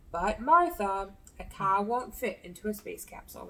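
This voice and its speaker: At a moderate pace, a woman uses a put-on character voice at medium pitch. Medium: read story. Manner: coaxing, patient.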